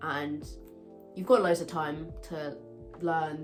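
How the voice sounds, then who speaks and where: A woman with a British accent has a very deep, low pitch. She speaks at a fairly slow pace with music in the background. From UK. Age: 20s. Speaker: university student. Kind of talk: casual advice talk to camera.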